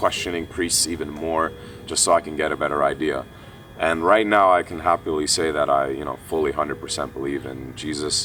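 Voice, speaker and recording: Over noticeable background noise, a man with a very deep, low pitch and an Armenian accent speaks at a fairly quick pace with fairly even intonation. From Kuwait, Armenian family, moved to US at 8-9. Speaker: esports player. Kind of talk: personal testimony interview. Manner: casual, many fillers.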